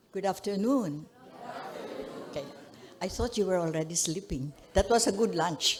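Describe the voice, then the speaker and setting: Crowd noise sits in the background and the room echo is audible as a woman speaks at medium pitch and a moderate pace. Her intonation is lively, broken by long, frequent pauses. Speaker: human rights defender, former journalist. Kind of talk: conference speech, testimony.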